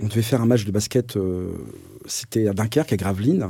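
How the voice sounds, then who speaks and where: In a very clean recording with a silent background, a man speaks at a fairly low pitch in a dark, mellow tone. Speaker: mentor. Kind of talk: interview testimony. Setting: in-person recording in Cambrai. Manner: halting, many fillers and repetitions.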